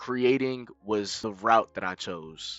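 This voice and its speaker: A man's fairly even intonation over music in the background. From US South, Fayetteville, North Carolina. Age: young. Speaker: streamer. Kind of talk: scripted narration; casual chat.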